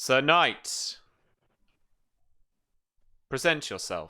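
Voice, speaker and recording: A man shouts in a booming, put-on character voice of fairly high pitch, captured on a very clean recording with a silent background. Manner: shouting across a crowd, commanding.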